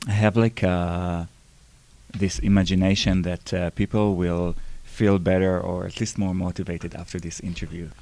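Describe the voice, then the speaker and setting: A dark, mellow tone in an Israeli accent, with monotone, flat intonation at a moderate pace. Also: man, very deep, low pitch for a man. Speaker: interviewer, podcast host.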